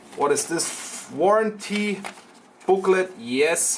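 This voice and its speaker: The speaker talks very slowly with a German accent. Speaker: tech shop presenter. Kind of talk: product unboxing demo.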